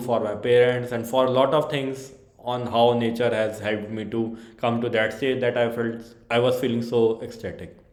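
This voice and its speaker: A man's flat, monotone delivery with noticeable background noise and audible room echo. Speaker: yoga practitioner vlogger. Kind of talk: personal testimony. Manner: hesitant, many fillers.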